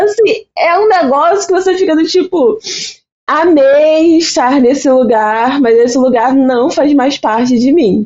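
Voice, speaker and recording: Very wide pitch swings run through what this woman says. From Brazil, Baixada Fluminense (Rio de Janeiro). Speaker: invited psychology expert. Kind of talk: podcast conversation.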